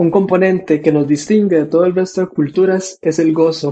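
The voice has a dark, mellow tone. Its intonation stays monotone and flat. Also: man. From Costa Rica. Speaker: political scientist, co-host. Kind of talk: casual discussion.

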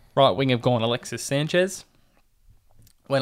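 Talking at a very fast pace, a man with an Australian accent uses a medium pitch on a very clean recording with a silent background. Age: 20s. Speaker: sports podcast host. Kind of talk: casual chat.

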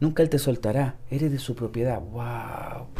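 A man's somewhat breathy voice, dark and mellow in tone, at a moderate pace with ordinary pitch variation. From Chile (Santiago). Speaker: church member, seminary student. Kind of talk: testimony. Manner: halting, many repetitions.

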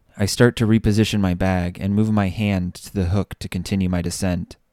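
The man's pitch is very deep and low, with monotone, flat intonation. He talks at a moderate pace, and the sound is dry and close with no echo. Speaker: fiction author narrator. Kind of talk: dramatic first-person narration of fantasy fiction, then a brief personal sign-off. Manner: hushed, tense, suspenseful narration with measured pacing.

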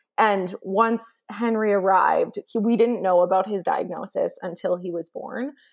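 A woman with a Canadian accent talks at a moderate pace in a fairly high pitch with hardly any pauses. She has fairly even intonation and an unremarkable speaking voice. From Canada. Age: 20s. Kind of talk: interview.

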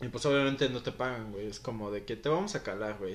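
At a fairly quick pace, a man uses a plain, everyday voice with ordinary pitch variation. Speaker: former footballer. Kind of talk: interview. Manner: casual, slangy.

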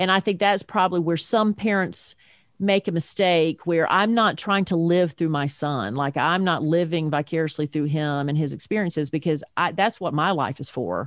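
A woman speaks at a moderate pace in a plain, everyday voice, fairly low in pitch, with ordinary pitch variation and hardly any pauses. The recording is very clean and dry, close-miked with a silent background and no echo. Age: 50s. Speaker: parent guest, podcaster. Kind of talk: casual interview chat.

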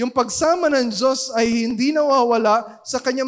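A loud voice at a moderate pace. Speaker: pastor. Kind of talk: sermon. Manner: halting.

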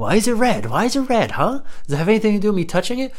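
The man's words come very fast. There is noticeable noise in the background. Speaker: comedic podcaster. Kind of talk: profane hypochondriac comedy rant, solo monologue. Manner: escalating, exasperated profanity-laced ranting; self-mocking, breaks into laughter mid-rant.

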